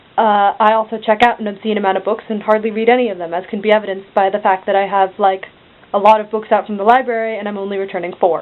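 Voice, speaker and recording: With noticeable background noise, a woman at medium pitch talks at a very fast pace in a deadpan tone with monotone, flat intonation. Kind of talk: casual talk to camera. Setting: bedroom. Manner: monotone, deadpan.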